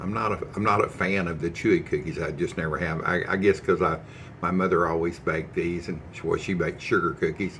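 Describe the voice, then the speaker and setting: A man speaks in a very deep, low pitch with a bright, sharp tone and flat, monotone intonation. Light background noise is present. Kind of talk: casual cooking tutorial chat. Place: kitchen. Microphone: phone near.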